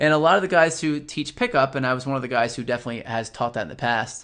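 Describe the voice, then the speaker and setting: A man with a fairly high pitch and ordinary pitch variation against a quiet background. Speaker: body language coach. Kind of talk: webinar lecture. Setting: online webinar. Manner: fast.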